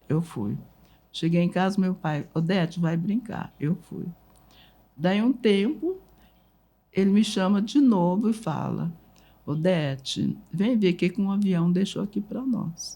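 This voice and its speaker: A woman speaks at a very slow pace with long, frequent pauses. Her medium-pitched voice is somewhat breathy and dark and mellow, with ordinary pitch variation. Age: 80s+. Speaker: writer and family memory keeper. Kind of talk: interview storytelling.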